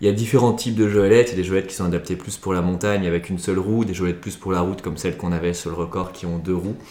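Very fast speech with hardly any pauses and fairly even intonation. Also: man, very deep, low pitch for a man. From France, Chambéry (Savoie). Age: 20s. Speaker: sports adventure agency founder. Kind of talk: interview. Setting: recorded at a guest's home. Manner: halting, many repetitions and fillers.

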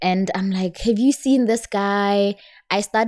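In a very clean recording with a silent background, a woman with a Botswana accent speaks in a fairly high voice. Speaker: guest reader and writer. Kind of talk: reading aloud and casual chat.

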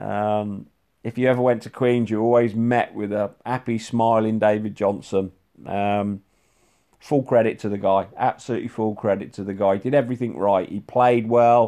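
Here a man with an English accent talks at a moderate pace in a fairly low pitch. His tone is dark and mellow, and his intonation is monotone and flat. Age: 50s. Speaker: former real tennis professional and coach. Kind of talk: monologue reminiscence. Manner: hesitant, lots of ums.

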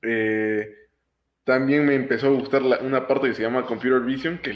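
Using an ordinary speaking voice, a man talks at medium pitch and a fairly quick pace. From Honduras, Tegucigalpa. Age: 20s. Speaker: engineering student. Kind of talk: interview.

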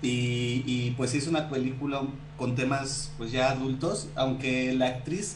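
Room echo is audible as a man talks. Behind him there is noticeable background noise. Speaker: podcast co-host. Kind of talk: casual chat.

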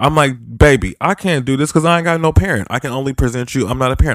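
Someone talks at a very fast pace with a dry, close sound and no echo. Background noise is noticeable. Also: man. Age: 40s. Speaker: podcast host. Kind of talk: angry rant. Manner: fired up, loud, profane, emphatic, rapid-fire; unfiltered and confrontational.

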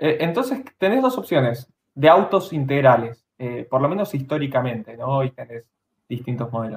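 The voice is somewhat breathy, moving at a moderate pace. Pitch varies in an ordinary way, while loudness swings widely. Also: man, fairly high pitch for a man. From Argentina, Bariloche (Patagonia). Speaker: car YouTuber. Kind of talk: casual live-stream chat. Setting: home, live stream.

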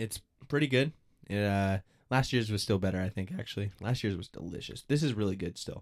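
A man with a fairly low voice at a fairly quick pace, with ordinary pitch variation. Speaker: podcast host. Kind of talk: casual chat. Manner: loud talker.

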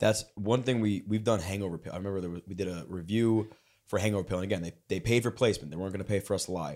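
A man at a very fast pace, fairly low in pitch, with ordinary pitch variation. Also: very clean recording, silent background. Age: 20s. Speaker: podcast host. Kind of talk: casual interview chat.

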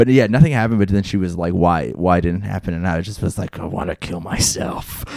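Hardly pausing, a man speaks in a very deep, low pitch with ordinary pitch variation. Noticeable background noise runs underneath. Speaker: podcast guest. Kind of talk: casual chat.

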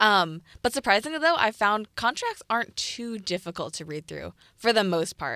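A woman with a Californian accent speaks with hardly any pauses in a bright, sharp tone, with very wide pitch swings and big swings in loudness, in a very clean, dry, close recording with a silent background and no echo. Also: fairly high pitch for a woman, moderate pace. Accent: General American, Californian. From US West Coast, Piedmont, California. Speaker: YouTuber and student entrepreneur. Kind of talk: interview, casual chat.

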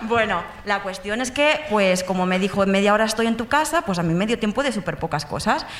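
Speaking at a fairly quick pace with medium pitch, a woman is heard over noticeable background noise. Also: lively intonation. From Mallorca, Spain. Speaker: audience member. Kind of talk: storytelling before a live audience. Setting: stage with audience.

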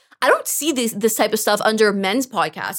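Speaking very fast, a woman uses a fairly high pitch and an animated tone. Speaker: podcast co-host. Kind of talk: casual chat.

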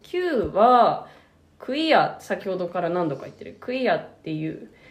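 Her pitch fairly high, a woman swings very widely in pitch amid audible room echo. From Japan. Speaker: podcast co-host. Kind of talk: explanatory casual chat.

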